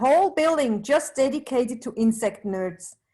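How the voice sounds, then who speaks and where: On a very clean recording with a silent background, a woman with a Swiss accent speaks at a moderate pace in a high pitch. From Switzerland, Zurich. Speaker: bee researcher. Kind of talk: presentation.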